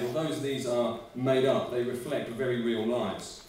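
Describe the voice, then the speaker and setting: A man speaks in a space with audible room echo and noticeable background noise. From Norwich, East Anglia, England. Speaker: charity representative. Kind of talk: funding pitch presentation.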